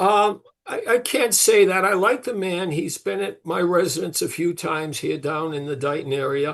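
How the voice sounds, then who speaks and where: Lively intonation marks this high-pitched male voice. The man speaks with hardly any pauses. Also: moderate pace. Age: 70s. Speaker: father of a trial defendant. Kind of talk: interview. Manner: halting.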